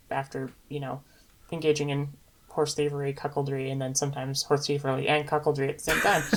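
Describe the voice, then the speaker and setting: A woman's very deep, low voice, flat and monotone in intonation, at a very fast pace. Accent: American. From United States. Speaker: podcast co-host discussing fan fiction. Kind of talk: casual discussion.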